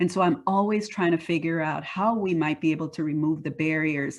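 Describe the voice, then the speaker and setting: A woman's very deep, low pitch, fairly even intonation and fairly quick pace over a quiet background. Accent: slight Panamanian. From Panama. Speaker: diversity and workforce leader. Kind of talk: interview.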